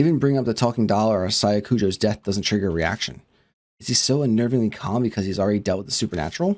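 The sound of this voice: Over a quiet background, an unforced reading voice moves with ordinary pitch variation.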